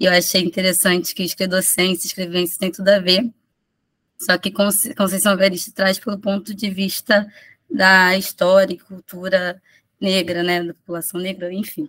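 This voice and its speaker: The delivery is monotone and flat at a moderate pace. The sound is dry and close, with no echo. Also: woman, medium pitch for a woman. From Rio de Janeiro, Manguinhos favela. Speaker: preschool teacher presenting research. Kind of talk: conference presentation. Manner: halting, many restarts.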